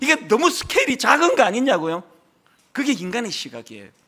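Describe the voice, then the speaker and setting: The voice is raised and projected, with an animated tone. Its tone is bright and sharp. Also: man. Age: 60s. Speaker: pastor. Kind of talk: sermon.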